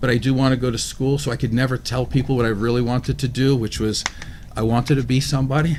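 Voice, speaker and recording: A man at a medium pitch, very fast pace, monotone, flat intonation and very even loudness, over noticeable background noise. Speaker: talk show co-host. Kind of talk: casual discussion.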